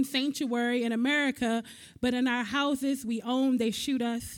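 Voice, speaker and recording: A woman's high-pitched monotone at a moderate pace, flat in intonation, on a very clean recording with a silent background. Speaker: spoken-word poet. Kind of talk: spoken-word poetry performance.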